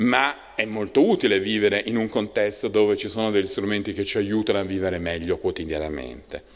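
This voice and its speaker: At a fairly quick pace with hardly any pauses, a man talks in a plain, everyday voice, his fairly low pitch showing ordinary variation against a quiet background. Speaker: university department director; lecturer. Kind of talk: panel talk. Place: meeting room. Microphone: podium.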